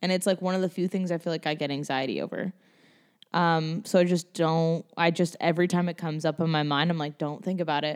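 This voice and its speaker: In a very clean recording with a silent background, a woman talks at a very fast pace. Her pitch is fairly low and her intonation fairly even. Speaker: guest. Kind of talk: casual chat.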